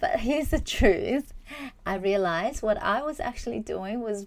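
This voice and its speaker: Delivery keeps a moderate pace. Pitch moves in very wide swings throughout. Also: woman. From Malaysia, small town. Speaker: psychologist and podcast host. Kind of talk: personal storytelling monologue.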